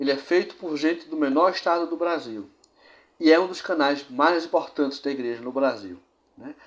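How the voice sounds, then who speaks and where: With a plain, everyday voice, a man speaks at a fairly high pitch with ordinary pitch variation and big swings in loudness. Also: moderate pace. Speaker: church history show presenter. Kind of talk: presented history narration.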